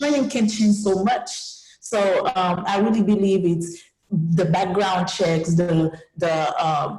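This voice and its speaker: A woman at a medium pitch with ordinary pitch variation, very even loudness and a very slow pace, audible room echo behind her. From Haiti. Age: 20s. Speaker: student activist. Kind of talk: panel discussion.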